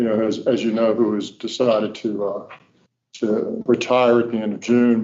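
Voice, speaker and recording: A man's dark, mellow voice in a Virginia Tidewater accent, monotone and flat in intonation, at a moderate pace. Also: medium pitch for a man. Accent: Virginia Tidewater Southern. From Virginia, Norfolk. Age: 60s. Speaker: state transportation official. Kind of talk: welcome speech at board meeting. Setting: meeting room at podium. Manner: casual, folksy.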